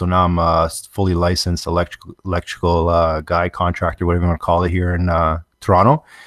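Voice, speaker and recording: A man speaks very fast in a very deep, low voice with a Canadian accent. The recording is very clean, with a silent background. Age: 30s. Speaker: structured cabling contractor. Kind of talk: interview.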